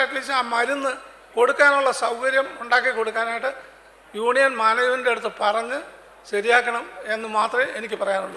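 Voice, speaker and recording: A man uses a raised, projected voice at an extremely high pitch with fairly even intonation. Noticeable background noise is present. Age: 70s. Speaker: bank pensioner. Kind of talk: public meeting speech.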